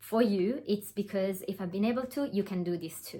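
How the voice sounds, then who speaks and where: At a fairly quick pace, a woman talks in a somewhat breathy, medium-pitched voice with ordinary pitch variation. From Italy. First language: Italian. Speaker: online business coach. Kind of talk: webinar presentation. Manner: hesitant, with fillers.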